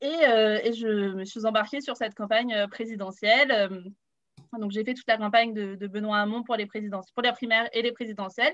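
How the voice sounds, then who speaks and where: A woman's fairly high voice at a fairly quick pace, fairly even in intonation, over a quiet background. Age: 20s. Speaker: youth political activist. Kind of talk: panel introduction. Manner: hesitant, many fillers.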